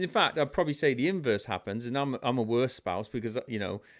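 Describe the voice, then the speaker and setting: With a British accent, a man speaks at a very fast pace in a medium pitch, making very wide pitch swings. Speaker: leadership speaker and army veteran. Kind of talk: podcast interview.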